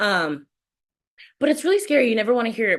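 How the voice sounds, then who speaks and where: An animated woman talks in an American accent. Her pitch is fairly high and her intonation is lively. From California. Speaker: musical theater performer. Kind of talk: interview.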